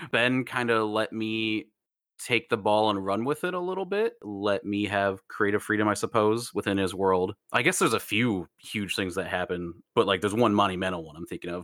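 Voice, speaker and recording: A man speaks fairly quickly with an American accent, using a plain, everyday voice pitched fairly low with ordinary pitch variation. The recording is very clean, with a silent background. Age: 30s. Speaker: podcaster. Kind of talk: casual chat.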